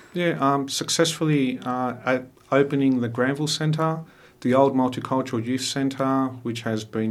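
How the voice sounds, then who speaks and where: A man talks in an Australian accent at a medium pitch and moderate pace. The recording is very clean, with a silent background. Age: 40s. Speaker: mayor. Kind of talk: radio interview. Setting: radio studio.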